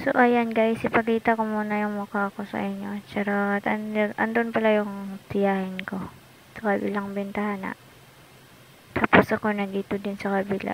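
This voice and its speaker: A soft-spoken woman at medium pitch, with monotone, flat intonation and a moderate pace. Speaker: travel vlogger. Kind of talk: casual travel vlog narration. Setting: in a car.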